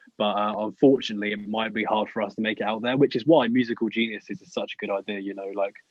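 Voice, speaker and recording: A man with a British accent talks at a very fast pace in a fairly low voice. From UK. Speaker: rapper. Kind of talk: casual chat. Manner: halting.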